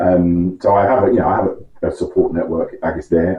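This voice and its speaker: Speaking at a moderate pace, a man with a London accent has a very deep, low pitch. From West London, England. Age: 40s. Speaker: interview guest. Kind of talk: interview. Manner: halting.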